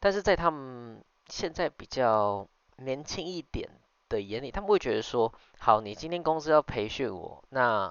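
At a fairly slow pace, a man speaks in a medium pitch with very wide pitch swings. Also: big swings in loudness. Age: 20s. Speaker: podcast host and business owner. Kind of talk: casual solo monologue. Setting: late-night home recording. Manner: hesitant, many fillers.

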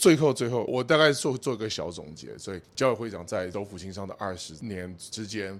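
A man speaks at a moderate pace with lively intonation. His unremarkable speaking voice sits fairly low in pitch. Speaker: podcast host. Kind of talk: interview.

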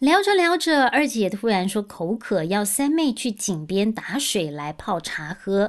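A woman's animated voice at a fairly high pitch, with very wide pitch swings, a fairly slow pace, hardly any pauses and a quiet background. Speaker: storytelling podcast host. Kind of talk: storytelling narration. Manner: animated, voices characters.

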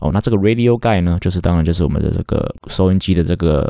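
On a very clean recording with a silent background and a dry, close sound with no echo, a man with a very deep, low pitch and a dark, mellow tone speaks in a relaxed tone with lively intonation. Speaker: baseball coach and podcast host. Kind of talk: solo podcast monologue. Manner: filler-heavy relaxed talk.

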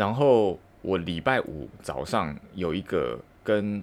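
This man has a very deep, low voice with vocal fry and a Taiwanese accent. His intonation is lively. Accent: Taiwanese Mandarin. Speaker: podcaster, office worker. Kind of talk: solo monologue. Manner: halting, many fillers.

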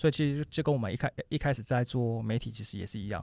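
An ordinary speaking voice from a man at medium pitch, ordinary pitch variation, on a very clean recording with a silent background. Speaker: business founder. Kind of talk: interview conversation.

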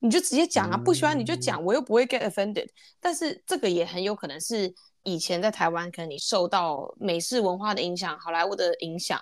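A woman speaks at a medium pitch and a fairly quick pace. Her pitch swings very widely. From Taiwan. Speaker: podcast co-host. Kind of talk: casual chat.

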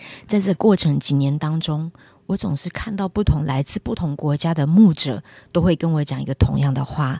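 Very deep and low, a woman's somewhat breathy, dark, mellow voice comes through a very clean recording with a silent background and a dry, close sound with no echo. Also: ordinary pitch variation, moderate pace. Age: 50s. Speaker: preacher. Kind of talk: testimony.

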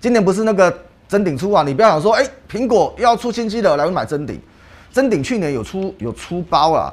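A man speaks with very wide swings in pitch. His voice has vocal fry. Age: 40s. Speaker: stock market analyst. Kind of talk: casual chat. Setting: studio. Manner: animated.

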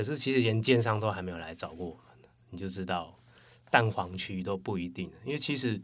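An ordinary speaking voice at a fairly quick pace, with ordinary pitch variation and big swings in loudness. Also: man, fairly low pitch for a man. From Taiwan, Taipei. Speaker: former coworker of host. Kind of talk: casual chat.

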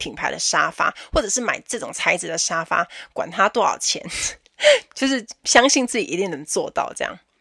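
Bright, sharp and animated, a woman's fairly high voice swings very widely in pitch at a fairly quick pace, with a dry, close sound and no echo. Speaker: podcast host, flight attendant. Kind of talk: casual solo podcast talk.

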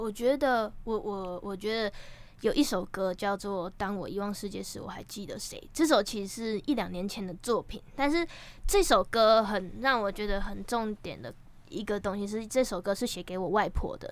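A woman with an unremarkable speaking voice talks at medium pitch and a moderate pace. Her loudness swings widely, while her pitch varies in an ordinary way. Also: very clean recording, silent background. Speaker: rapper and singer-songwriter. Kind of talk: casual interview chat.

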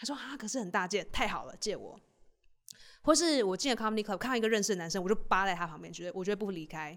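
A woman speaks at a very fast pace in an animated tone, her medium-pitched voice showing big swings in loudness. The recording is very clean, with a silent background. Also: lively intonation. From Taiwan. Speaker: stand-up comedian and podcast host. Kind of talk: casual chat.

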